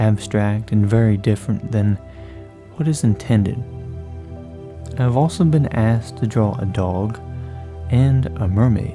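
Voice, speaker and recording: A soft-spoken man talks fairly slowly in a calm, soothing tone with a fairly low pitch, lively intonation, and long, frequent pauses. Music plays in the background. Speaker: artist. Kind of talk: ASMR drawing commentary. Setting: background rain and music. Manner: calm, soothing, soft-spoken.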